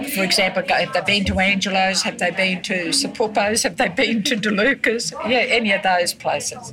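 A woman with a rural Queensland accent speaks at a moderate pace with hardly any pauses and very even loudness. Her medium pitch shows ordinary variation against noticeable background noise. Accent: rural Queensland Australian. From Queensland, Australia (Granite Belt, Ballandean). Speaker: retired telephonist and former festival queen. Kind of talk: interview, reminiscing. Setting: cafe. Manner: halting, repetitive.

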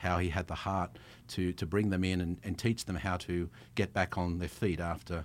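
A man speaks with an Australian accent at a very deep, low pitch. His intonation stays fairly even on a very clean recording with a silent background. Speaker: travel company founder. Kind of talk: casual interview chat. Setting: studio.

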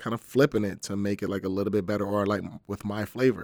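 A man with an American accent talks fairly quickly at a fairly low pitch in a monotone, flat delivery. The recording is very clean, with a silent background and a dry, close sound with no echo. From US Northeast (New Jersey). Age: 40s. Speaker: personal trainer and bodybuilder. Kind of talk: casual interview.

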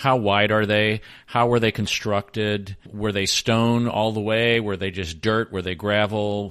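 Monotone, flat intonation marks this delivery, which unfolds at a fairly slow pace. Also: man, fairly low pitch for a man. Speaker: podcast co-host. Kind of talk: podcast intro and outro.

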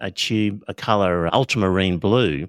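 An Australian-accented man is heard in a very clean recording with a silent background and a dry, close sound with no echo. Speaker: art supplies podcast host. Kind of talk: casual educational chat.

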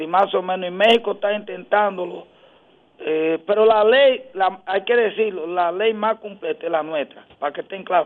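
High-pitched male speech at a moderate speed, with ordinary variation in pitch. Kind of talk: radio interview.

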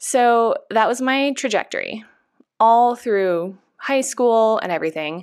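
A woman with an American accent, fairly high pitch and ordinary pitch variation at a very slow pace, on a very clean recording with a silent background. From Northern California. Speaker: hairstylist and educator. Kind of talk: interview.

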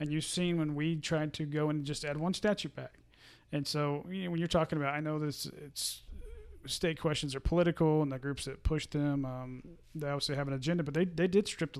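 In an ordinary speaking voice, a man with an American accent talks at a fairly quick pace, his fairly high pitch held in fairly even intonation. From eastern Oklahoma. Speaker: state legislator. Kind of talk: casual interview.

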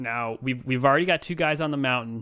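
Rattling along at a very fast pace, a man speaks with an American accent. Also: very clean recording, silent background. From Chicago. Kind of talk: casual chat.

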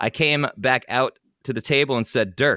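A man's voice has vocal fry, recorded dry and close with no echo. The recording is very clean, and the background is silent. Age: 30s. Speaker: podcast host. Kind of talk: casual chat. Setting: studio. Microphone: new high-quality mic.

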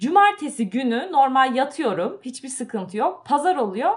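A woman with a high pitch talks at a moderate pace, making very wide pitch swings. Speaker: podcast co-host. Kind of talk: casual chat. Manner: animated.

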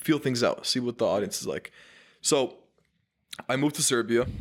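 The speaker is a man. His pitch sits at a medium level. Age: 20s. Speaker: marketing agency founder. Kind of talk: casual chat. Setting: studio.

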